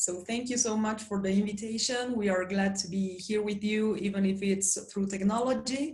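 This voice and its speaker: In a Spanish accent, a woman speaks at a fairly slow pace with fairly even intonation, and room echo is audible. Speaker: cultural presenter interpreting for co-presenter. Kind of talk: online presentation. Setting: video call.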